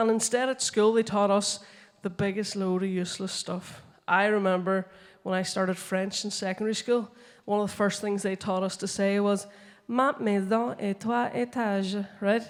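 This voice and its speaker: Delivered at a moderate pace in a Northern Irish accent, the speech keeps a fairly even intonation. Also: woman, medium pitch for a woman. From Northern Ireland. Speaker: comedian and science communicator. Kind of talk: stand-up comedy talk on stage. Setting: conference stage.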